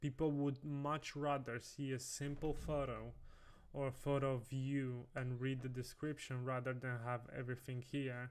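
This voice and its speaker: With a non-native accent, a man talks at a moderate pace and medium pitch, his intonation monotone and flat and his loudness very even. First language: not English. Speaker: designer livestreamer. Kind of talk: livestream commentary. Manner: casual, halting with self-corrections.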